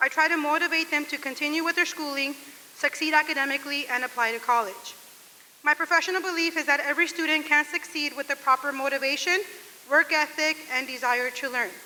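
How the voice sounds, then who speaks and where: In a raised, projected voice with an American accent, a woman speaks at a very fast pace and high pitch, her intonation fairly even, with noticeable background noise behind her. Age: 40s. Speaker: teacher. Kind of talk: speech read aloud. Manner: loud.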